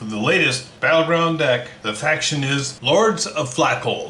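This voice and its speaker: A fairly high-pitched man with an American accent and lively intonation, at a fairly slow pace, with audible room echo and noticeable background noise. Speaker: board game reviewer. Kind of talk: unboxing video.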